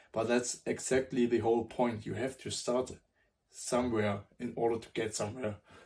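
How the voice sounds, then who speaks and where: A man speaks at a moderate pace with a non-native accent. His voice is somewhat breathy and his intonation is flat and monotone. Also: medium pitch for a man. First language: not English. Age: 20s. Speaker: self-improvement vlogger. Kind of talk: motivational talk to camera. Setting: at a whiteboard. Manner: halting, with self-corrections.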